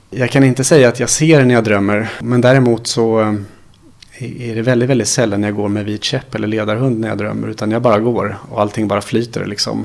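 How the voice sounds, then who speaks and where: The man's intonation is monotone and flat. He talks fairly quickly, at a medium pitch. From Sweden, Småland. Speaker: blind computer instructor. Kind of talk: interview. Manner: halting.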